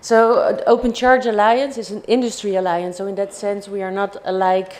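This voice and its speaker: A woman's medium-pitched voice with a Dutch accent at a moderate pace, over noticeable background noise. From Netherlands. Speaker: industry alliance director. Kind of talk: conference presentation.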